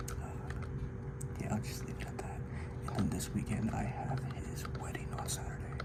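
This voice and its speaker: A man whispers in a relaxed tone. Noticeable background noise sits behind him. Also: hardly any pauses. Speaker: ASMR creator. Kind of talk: casual talk to camera, life ramble. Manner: soft-spoken, relaxed.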